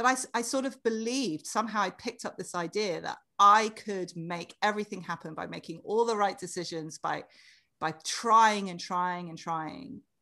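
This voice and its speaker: A woman with a British accent and a bright, sharp tone speaks at medium pitch and a moderate pace, with ordinary pitch variation and a quiet background. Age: 40s. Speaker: author. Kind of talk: casual interview chat.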